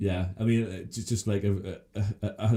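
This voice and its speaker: With an English accent, the voice has a dark, mellow tone and ordinary pitch variation. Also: man. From England, Scottish-born. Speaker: podcast host. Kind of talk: casual chat. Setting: studio. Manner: halting.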